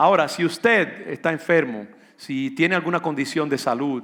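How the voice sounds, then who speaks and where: In a very clean recording with a silent background, a man with a fairly high pitch uses a normal speaking voice at a moderate pace, with ordinary pitch variation. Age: 60s. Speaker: pastor. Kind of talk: sermon.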